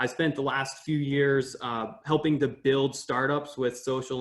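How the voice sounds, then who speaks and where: A man at medium pitch and moderate pace. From US, Maine. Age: 20s. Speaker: climate activist and graduate student. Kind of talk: podcast interview. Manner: hesitant, many fillers.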